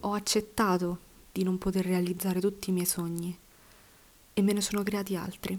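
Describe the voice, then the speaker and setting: A woman speaks at a moderate pace with a medium pitch, flat monotone intonation, and long, frequent pauses. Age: 20s. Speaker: podcaster and university student. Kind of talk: personal monologue.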